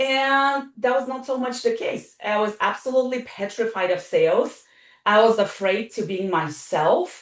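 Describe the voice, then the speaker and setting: Lively intonation and a moderate pace carry the speech, with music in the background. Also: woman, high pitch for a woman. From Eastern Europe. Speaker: wellness coach. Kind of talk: podcast interview. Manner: animated.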